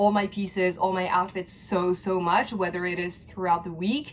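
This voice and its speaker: Over noticeable background noise, a woman speaks at a moderate pace. Her medium-pitched voice keeps a fairly even intonation. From France. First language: French. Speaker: lifestyle vlogger. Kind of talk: casual Q&A vlog. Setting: at home.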